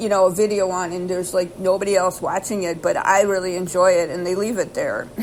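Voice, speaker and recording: Over noticeable background noise, a woman speaks very fast at a medium pitch in a flat, monotone delivery. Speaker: YouTuber. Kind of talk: casual monologue. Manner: fast and erratic; halting, many fillers.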